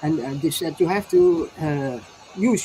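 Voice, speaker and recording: There is noticeable background noise as a woman speaks with a Dutch accent. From Netherlands. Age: 60s. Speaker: inventor and alternative healer. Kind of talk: interview testimony. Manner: halting, many repetitions.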